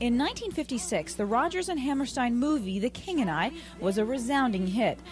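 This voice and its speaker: With music in the background, a woman speaks at a high pitch and a fairly quick pace, her pitch swinging very widely while her loudness stays very even. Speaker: TV entertainment reporter. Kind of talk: TV news report.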